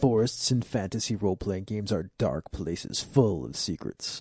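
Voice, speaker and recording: A man's put-on character voice at fairly low pitch and moderate pace, over a quiet background. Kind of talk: voiceover. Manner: dramatic, cinematic.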